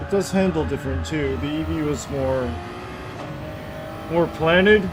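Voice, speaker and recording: At a moderate pace, a quiet voice comes through noticeable background noise. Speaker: video game streamer. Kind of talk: live gameplay commentary. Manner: quiet, sparse talk.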